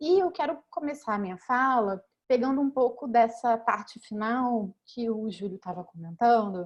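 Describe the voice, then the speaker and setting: At a fairly slow pace with hardly any pauses, a woman speaks at a fairly high pitch in a strong Rio de Janeiro accent. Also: lively intonation. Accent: strong Rio de Janeiro (carioca). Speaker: law professor. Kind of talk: academic panel talk. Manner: halting, with many fillers.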